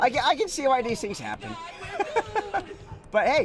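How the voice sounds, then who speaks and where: Over background music, a man talks at a fairly quick pace in an animated tone, his pitch swinging very widely. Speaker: video game streamer. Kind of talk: live gameplay commentary. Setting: live stream.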